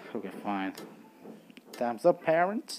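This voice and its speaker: Music can be heard behind the voice. The accent is non-native. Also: man. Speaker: gaming commentator. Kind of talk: casual gameplay commentary, reading game text aloud.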